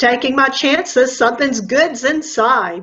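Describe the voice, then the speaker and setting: A woman puts on a loud character voice. Her pitch is high. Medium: read story. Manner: loud, hollering.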